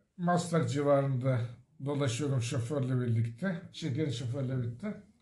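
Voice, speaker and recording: This man's voice sits fairly high in pitch and has a dark, mellow, somewhat breathy tone. His pitch varies in an ordinary way, and audible room echo surrounds it. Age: 60s. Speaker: retiree and memoir author. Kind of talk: storytelling interview.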